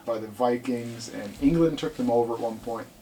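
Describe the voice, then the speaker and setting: A man uses a plain, everyday voice, pitched in the medium range and paced moderately. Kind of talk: casual podcast conversation.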